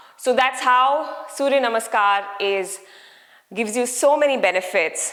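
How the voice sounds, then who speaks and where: Against noticeable background noise, a woman talks at a fairly slow pace with ordinary pitch variation. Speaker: yoga teacher. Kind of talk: guided yoga class.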